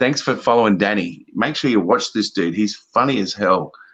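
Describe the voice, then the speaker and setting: A man with an Australian accent speaks at a moderate pace. His pitch is fairly low. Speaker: talk show guest. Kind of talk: casual chat. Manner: animated.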